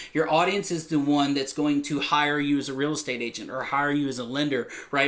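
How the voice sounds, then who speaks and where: Very fast and animated, a man talks at a fairly high pitch in an American accent. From Texas. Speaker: real estate agent. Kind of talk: vlog talk to camera. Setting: recorded video, Texas flag behind. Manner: loud.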